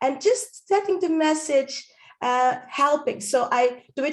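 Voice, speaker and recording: A woman with a Dutch accent speaks with ordinary pitch variation. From Netherlands. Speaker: stand-up comedian and speaking coach; voice-over artist. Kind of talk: interview answer.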